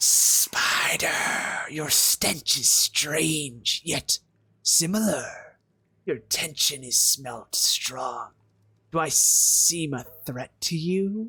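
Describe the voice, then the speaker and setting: This is a put-on character voice at a middle pitch. It moves along at a very slow pace. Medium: game stream. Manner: stuttering, creepy.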